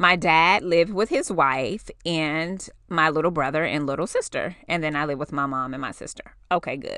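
On a very clean recording with a silent background, a woman with an American accent sounds animated, her tone bright and sharp. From New York City, the Bronx. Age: 40s. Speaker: podcast host. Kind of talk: casual chat.

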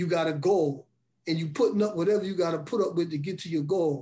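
A man rushes along at a very fast pace in a dark, mellow tone. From Brooklyn and Bridgeport, Connecticut. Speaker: formerly incarcerated mentor. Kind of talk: testimony.

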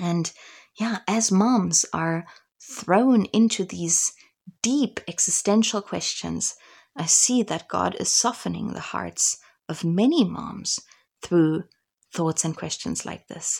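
On a very clean recording with a silent background, a woman speaks at a very slow pace in a somewhat breathy voice. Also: medium pitch for a woman, ordinary pitch variation. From Germany and Africa (missionary childhood). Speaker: podcast host, missionary mother. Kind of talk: devotional podcast talk. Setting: home recording.

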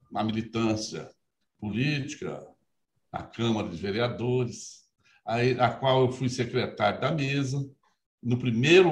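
At a very slow pace, a man speaks in a somewhat breathy voice. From Minas Gerais interior, Brazil. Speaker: judge, electoral court president. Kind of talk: interview. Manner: formal.

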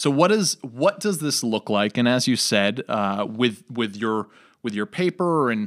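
A man with a normal speaking voice, medium pitch and an American accent, at a fairly slow pace with ordinary pitch variation, on a very clean recording with a silent background and a dry, close sound with no echo. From New York. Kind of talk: casual religious discussion.

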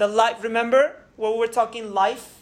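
A woman's voice with audible room echo. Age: 30s. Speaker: pastor. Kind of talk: sermon.

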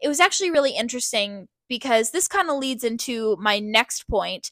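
Heard in a dry, close sound with no echo, a woman with a Canadian accent speaks at a high pitch in a bright, sharp tone. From Ontario, Canada. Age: 20s. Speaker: podcast host. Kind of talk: casual monologue.

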